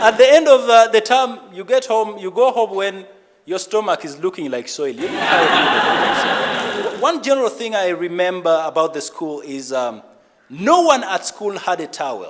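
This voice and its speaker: Over noticeable background noise, a man with a Ugandan accent speaks at a moderate pace and a high pitch, with very wide pitch swings and big swings in loudness. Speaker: stand-up comedian. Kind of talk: live stand-up comedy set.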